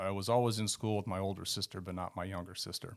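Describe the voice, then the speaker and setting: A fairly low-pitched man's voice with a Californian accent. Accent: Californian American. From northern California. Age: 60s. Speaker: guest sharing conversion story. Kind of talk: testimony.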